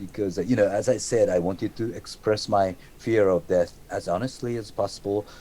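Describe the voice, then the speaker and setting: Talking at a fairly quick pace, a man with a Japanese accent has a fairly low pitch and a dark, mellow tone. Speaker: metal musician. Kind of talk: interview. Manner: halting, repeats words.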